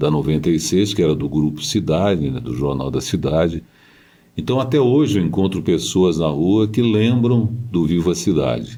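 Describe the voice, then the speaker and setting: In a room with audible echo, a man with a very deep, low pitch and a dark, mellow tone speaks at a moderate pace with very wide pitch swings and vocal fry. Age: 70s. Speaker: radio broadcaster and journalist. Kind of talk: interview.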